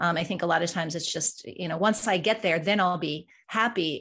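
With an American accent and an unremarkable speaking voice, a woman talks at a fairly low pitch with fairly even intonation against a quiet background. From Colorado. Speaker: executive leadership coach and author. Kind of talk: interview conversation.

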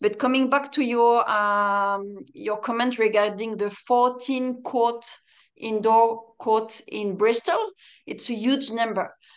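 A woman's fairly high voice with a French accent, at a very slow pace over a quiet background. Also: fairly even intonation. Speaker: padel player and coach. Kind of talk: interview chat.

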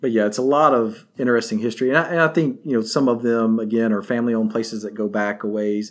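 Speaking in a West Tennessee accent, a man has a medium pitch and ordinary pitch variation. He goes at a very fast pace with hardly any pauses, on a very clean recording with a silent background. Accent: Southern US (West Tennessee). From Northwest Tennessee. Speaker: barbecue history presenter. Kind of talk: casual interview.

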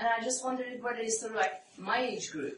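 A woman with a Persian accent at a fairly quick pace, amid noticeable background noise. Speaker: psychoanalyst and author. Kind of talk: author talk with audience Q&A. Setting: stage with audience.

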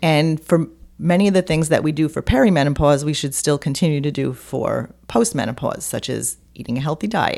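The voice has a dark, mellow tone, ordinary pitch variation and a fairly quick pace. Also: woman. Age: 60s. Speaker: holistic health coach and author. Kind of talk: interview.

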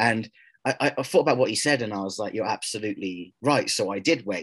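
Talking at a fairly quick pace, a man uses an ordinary speaking voice at a medium pitch. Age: 30s. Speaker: activist speaking against transgender movement. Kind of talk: interview.

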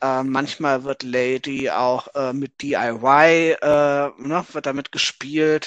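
A man's fairly high voice at a very slow pace, with hardly any pauses, flat monotone intonation and a dry, close sound with no echo. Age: 30s. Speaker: author and gender researcher. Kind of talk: interview conversation.

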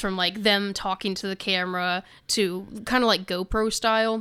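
A woman's medium-pitched voice with a bright, sharp tone, monotone and flat at a moderate pace, in a very clean recording with a silent background. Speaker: podcast host. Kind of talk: casual chat. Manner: chatty, laughs often.

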